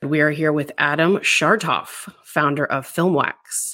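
A woman with a very deep, low pitch and a bright, sharp tone is heard on a very clean recording with a silent background. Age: 40s. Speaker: podcast host. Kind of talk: scripted intro and outro; interview.

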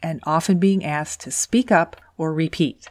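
Soft-spoken and fairly low in pitch, a woman talks at a fairly slow pace in a dry, close sound with no echo. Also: very clean recording, silent background. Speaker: podcast host and engineer career coach. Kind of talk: scripted podcast monologue.

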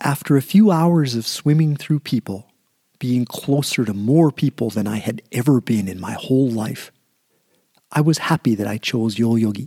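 At a very slow pace, the voice has a dark, mellow tone and lively intonation, with a dry, close sound and no echo. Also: man, medium pitch for a man. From Canada, prairie small town. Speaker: author reading his own story. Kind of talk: reading aloud.

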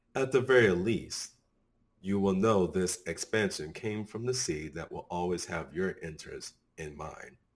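Here is a man with an unremarkable speaking voice, pitched fairly low and moving at a fairly slow pace with ordinary pitch variation. His loudness swings a lot over a silent background in a very clean recording. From Tennessee, US. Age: 30s.

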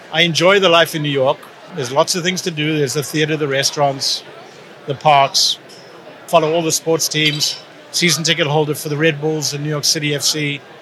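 Fairly quick and monotone, a man's fairly high voice stays flat against noticeable background noise. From South Africa. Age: 60s. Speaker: retired accountant. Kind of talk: interview.

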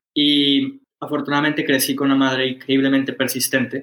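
A man's medium-pitched voice has a bright, sharp tone. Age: 20s. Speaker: startup founder. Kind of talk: interview.

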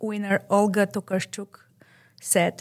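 On a very clean recording with a silent background, a woman with a Bulgarian accent speaks at a very slow pace in a monotone, flat intonation. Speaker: librarian, conversation group facilitator. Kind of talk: interview podcast.

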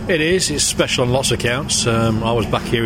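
A man talks fairly quickly in a room with audible echo, while noticeable noise carries on behind him. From England, Northamptonshire area near Silverstone. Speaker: motorsport race official. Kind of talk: interview. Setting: at a race circuit.

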